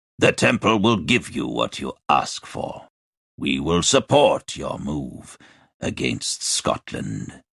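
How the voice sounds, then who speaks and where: A man puts on a character voice with a very deep, low pitch and very wide pitch swings, speaking at a fairly slow pace in a dry, close sound with no echo. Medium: read story. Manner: formal, authoritative.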